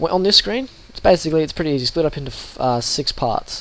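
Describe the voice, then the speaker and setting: A man with an Australian accent at a fairly quick pace, over noticeable background noise. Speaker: sim racing youtuber. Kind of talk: tutorial. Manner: casual, with fillers.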